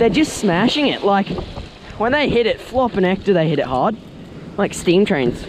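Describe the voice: A man talks at a moderate pace in a high pitch, with big pitch swings. Faint background noise sits behind him.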